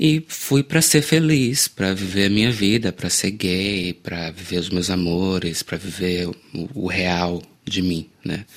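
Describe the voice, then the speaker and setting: A man with a very deep, low pitch speaks at a fairly slow pace. His intonation is lively, on a very clean recording with a silent background. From Salvador, Bahia, Brazil. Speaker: singer-songwriter. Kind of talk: interview. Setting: studio.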